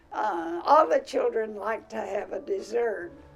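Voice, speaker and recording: Music plays in the background as a woman with an American accent speaks at a very slow pace. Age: 80s+. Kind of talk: oral history interview answer. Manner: hesitant, many fillers.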